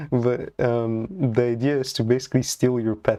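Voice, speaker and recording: A man with a non-native accent speaks at a fairly slow pace in a monotone, flat intonation, with a dark, mellow tone at medium pitch. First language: not English. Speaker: programming live streamer. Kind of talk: live coding stream chat. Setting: live stream. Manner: casual, halting with many fillers.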